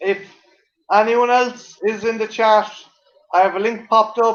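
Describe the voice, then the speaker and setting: Speaking with an Irish accent, a man talks at a fairly slow pace. His pitch is high, and his intonation is monotone and flat. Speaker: live stream guest. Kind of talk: casual chat. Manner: halting, repeats words.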